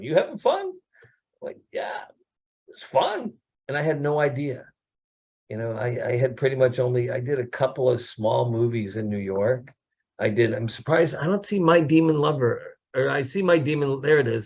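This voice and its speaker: A somewhat breathy man at a moderate pace. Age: 60s. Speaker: actor and producer. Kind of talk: casual chat.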